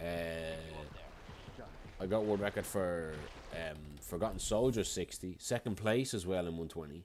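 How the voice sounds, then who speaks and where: Speaking with a strong Irish accent, a man uses a very deep, low pitch with ordinary pitch variation and long, frequent pauses. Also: moderate pace. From Ireland. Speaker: video game speedrunner and streamer. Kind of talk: casual livestream chat.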